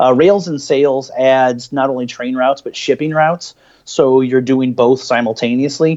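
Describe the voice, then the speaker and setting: With an American accent, a man speaks at medium pitch and a moderate pace, his intonation fairly even. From Illinois, US Midwest. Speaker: board game store owner. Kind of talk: casual chat.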